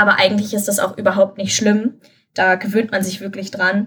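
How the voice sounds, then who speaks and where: A woman's ordinary speaking voice, medium in pitch, with fairly even intonation and a fairly quick pace. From Germany, Lower Rhine (Krefeld). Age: 20s. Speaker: university student and tutor. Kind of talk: interview.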